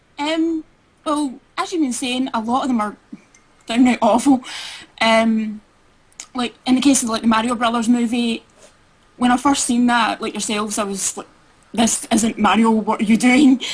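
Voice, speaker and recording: Noticeable background noise sits behind a woman speaking at a high pitch with fairly even intonation. She leaves long, frequent pauses. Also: moderate pace. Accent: Scottish. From Scotland. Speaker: caller. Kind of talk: call-in podcast chat.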